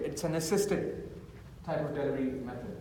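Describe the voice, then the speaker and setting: A man's voice with ordinary pitch variation, audible room echo and noticeable background noise. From India, Mumbai. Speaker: architect, conference panelist. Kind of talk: conference panel presentation. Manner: fast.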